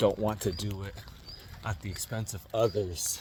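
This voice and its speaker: A man with an American accent amid noticeable background noise. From Utah, US. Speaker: vlogger. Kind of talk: casual vlog monologue. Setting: outdoors, walking in rain. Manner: hesitant, many fillers.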